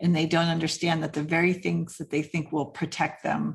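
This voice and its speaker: With vocal fry and fairly even intonation, a woman speaks at a very deep, low pitch. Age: 50s. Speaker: writing coach and author. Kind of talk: casual interview.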